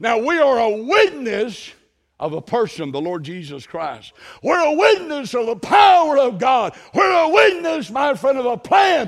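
A man shouting at an extremely high pitch, very wide pitch swings, and a fairly slow pace. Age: 60s. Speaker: missionary preacher. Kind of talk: sermon. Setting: church.

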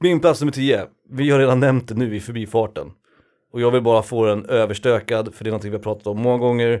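The man's pitch is medium, and his delivery is very fast. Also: ordinary pitch variation. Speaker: podcast co-host. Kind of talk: casual chat. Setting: home studio.

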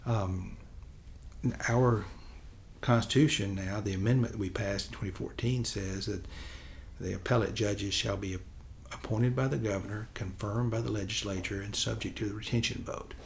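In a West Tennessee accent, a man with a fairly low pitch, vocal fry and ordinary pitch variation talks at a moderate pace with long, frequent pauses, in audible room echo. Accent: Southern US (West Tennessee). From West Tennessee, Chester County. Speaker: state supreme court justice. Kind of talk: interview. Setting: studio.

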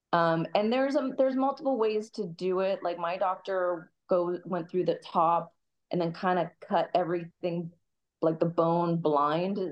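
A woman with an American accent, an unremarkable speaking voice, fairly low pitch, ordinary pitch variation and a fairly slow pace. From US Midwest, Kansas City. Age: 40s. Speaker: Muay Thai fighter. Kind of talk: casual interview chat.

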